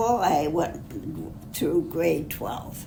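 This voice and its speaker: A woman with an American accent speaks at a fairly low pitch with ordinary pitch variation. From Upper Peninsula of Michigan. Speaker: retired executive secretary. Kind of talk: interview answer. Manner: conversational, hesitant.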